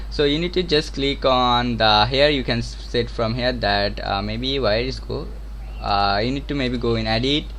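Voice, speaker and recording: A man speaks at a moderate pace with a Bengali accent. The room echo is audible. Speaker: game development streamer. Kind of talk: live-stream tutorial. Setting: live stream. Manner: halting.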